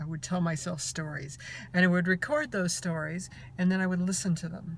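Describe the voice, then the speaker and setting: Somewhat breathy and fairly low in pitch, a woman talks at a fairly quick pace. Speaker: transgender woman giving voice tips. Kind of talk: casual voice tutorial to camera.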